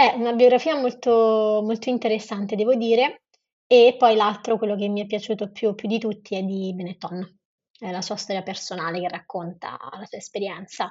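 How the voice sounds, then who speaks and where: A woman with a plain, everyday voice, fairly high in pitch, fairly even in intonation, at a moderate pace with big swings in loudness. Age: 20s. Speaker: non-profit founder. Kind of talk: interview.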